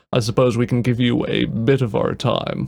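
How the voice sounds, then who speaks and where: A man puts on a character voice at medium pitch, speaking at a moderate pace. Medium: read story. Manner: firm, authoritative.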